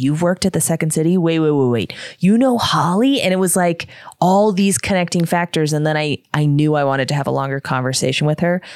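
Talking fairly quickly, a woman with an unremarkable speaking voice uses lively intonation. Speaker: podcast host. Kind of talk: casual interview chat.

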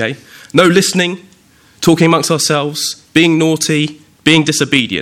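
A man with a southern English accent and a fairly high pitch speaks at a moderate pace, his intonation fairly even. He leaves long pauses, and they come often. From southern England, Windsor. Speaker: preacher. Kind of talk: sermon.

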